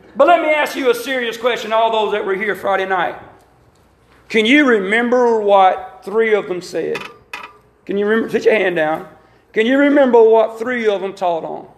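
There is audible room echo as a man speaks at a moderate pace and a high pitch, with ordinary pitch variation. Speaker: Pentecostal preacher. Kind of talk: sermon. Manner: animated.

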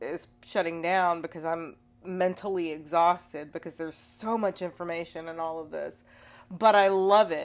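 A woman speaks in an ordinary speaking voice at a fairly low pitch. Her pace is fairly slow and her intonation fairly even. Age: 40s. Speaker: podcast host and spiritual practitioner. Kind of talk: casual chat.

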